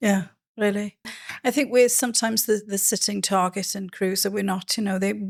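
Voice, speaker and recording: A woman with a Welsh accent talks at a fairly quick pace, medium in pitch, with fairly even intonation. The recording is very clean, with a silent background. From Wales. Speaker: podcast host, cruise industry advisor. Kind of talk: interview.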